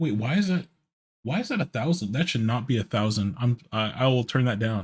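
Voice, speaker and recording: A man at medium pitch talks at a fairly quick pace, somewhat breathy, with very even loudness and lively intonation. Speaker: vtuber streamer. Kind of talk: live gaming stream chat. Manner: halting, repeats words.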